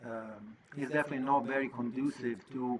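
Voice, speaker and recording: Noticeable background noise sits behind a man speaking at a medium pitch with fairly even intonation. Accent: Italian. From Italy. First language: Italian. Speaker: podcast host. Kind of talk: monologue podcast talk.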